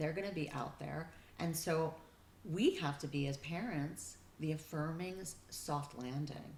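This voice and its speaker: A somewhat breathy voice with ordinary pitch variation at a moderate pace, with audible room echo. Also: woman. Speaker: family therapist. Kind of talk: interview.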